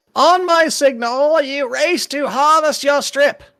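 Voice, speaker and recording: A put-on character voice with a high pitch moves at a fairly slow pace on a very clean recording with a silent background. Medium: actual play.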